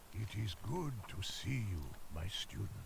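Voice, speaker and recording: Amid loud background noise, a man puts on a character voice at a fairly low pitch. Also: moderate pace. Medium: video game.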